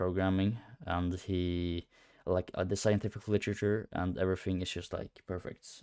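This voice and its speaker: A man's voice sits very deep and low, delivered at a moderate pace with monotone, flat intonation. The sound is dry and close with no echo, on a very clean recording with a silent background. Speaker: coaching client, aspiring powerlifter. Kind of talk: testimonial. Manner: hesitant, many fillers.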